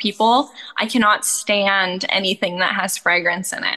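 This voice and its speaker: A woman's bright, sharp tone at a moderate pace. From Canada. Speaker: goat milk soap maker and rancher. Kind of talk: interview.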